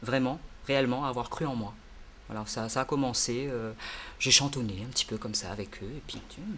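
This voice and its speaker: A man's speech holds a moderate pace and ordinary pitch variation. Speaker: singer and English teacher. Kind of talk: interview. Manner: hesitant, many fillers.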